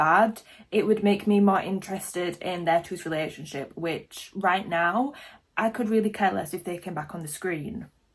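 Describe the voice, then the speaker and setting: Woman with a British accent, moderate pace and ordinary pitch variation. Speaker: reaction video youtuber. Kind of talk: casual reaction commentary. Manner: animated.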